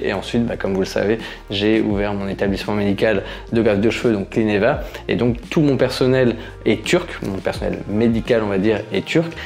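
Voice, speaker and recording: A man talks at a moderate pace with a fairly low pitch and ordinary pitch variation. Noticeable background noise sits behind him. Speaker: YouTuber living abroad. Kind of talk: casual Q&A vlog. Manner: hesitant, many fillers.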